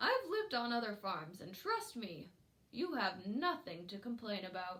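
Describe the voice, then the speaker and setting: Using a put-on character voice, a woman speaks at a moderate pace with a fairly high pitch. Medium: read story. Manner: matronly, chiding.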